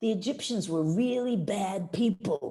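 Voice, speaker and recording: Her dark, mellow tone is somewhat breathy and moves through very wide pitch swings. The woman is heard against a quiet background. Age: 70s. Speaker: synagogue founder. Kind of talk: presentation over video call.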